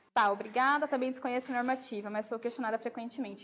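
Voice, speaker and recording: A woman with a high pitch. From Brazil, Campo Grande (Mato Grosso do Sul). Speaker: nurse and infection control lecturer. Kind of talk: lecture with audience Q&A. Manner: casual, hesitant with fillers.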